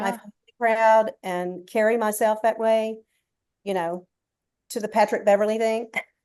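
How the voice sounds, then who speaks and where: Speaking in a Southern US accent, a woman uses a fairly high pitch and a dark, mellow tone, keeping a moderate pace with flat, monotone intonation and long, frequent pauses. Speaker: sports TV producer. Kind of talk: interview answer.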